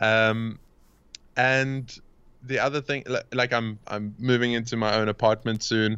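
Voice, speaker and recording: Speaking at a fairly slow pace, a man with a South African accent has a medium pitch and monotone, flat intonation. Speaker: coach and podcast host. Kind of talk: casual interview chat. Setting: video or phone call from Cape Town.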